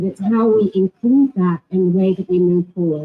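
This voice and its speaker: A woman with an English accent, somewhat breathy and fairly low in pitch, at a moderate pace. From England. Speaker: panelist. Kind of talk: panel discussion.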